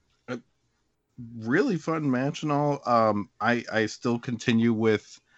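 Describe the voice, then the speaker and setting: A man uses a normal speaking voice at a medium pitch with ordinary pitch variation. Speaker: podcast co-host. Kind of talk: casual comedic banter podcast. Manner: sarcastic, quick-witted.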